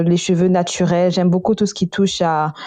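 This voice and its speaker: A woman at a medium pitch, dark and mellow in tone, at a fairly slow pace. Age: 20s. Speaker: university student, podcast guest. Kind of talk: casual chat. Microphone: echo.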